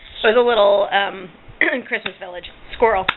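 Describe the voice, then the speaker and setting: A woman's voice amid noticeable background noise. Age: 40s. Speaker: vlogger. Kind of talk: casual chat. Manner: animated.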